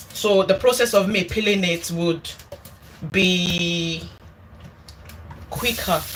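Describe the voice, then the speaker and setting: Noticeable background noise sits behind a woman's voice. She speaks at a medium pitch and a very slow pace. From Nigeria. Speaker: cooking YouTuber. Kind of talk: casual livestream cooking chat.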